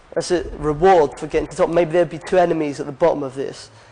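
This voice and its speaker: The speaker is a man with a fairly high pitch. He talks at a very fast pace in a monotone, flat intonation. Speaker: game artist. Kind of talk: conference talk.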